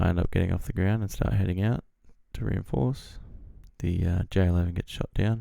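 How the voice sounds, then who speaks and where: A man mumbles quietly in a very deep, low voice with an Australian accent. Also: ordinary pitch variation, fairly quick pace. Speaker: flight sim gamer. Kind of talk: gameplay commentary. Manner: quiet, mumbled.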